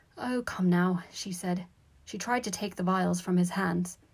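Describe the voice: Fairly even intonation across plain reading aloud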